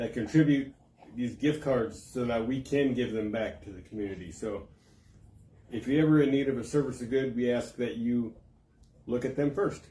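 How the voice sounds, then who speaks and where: Amid audible room echo, a man with a dark, mellow tone and medium pitch speaks at a moderate pace, somewhat breathy, with ordinary pitch variation and long, frequent pauses. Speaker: community paper host. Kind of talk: live stream giveaway. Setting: live video stream. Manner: casual, halting.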